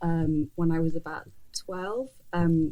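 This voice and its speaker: With an English accent, a woman talks in a monotone, flat delivery at a very slow pace. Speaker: journalist and fashion editor. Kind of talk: interview conversation. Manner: mumbling; halting.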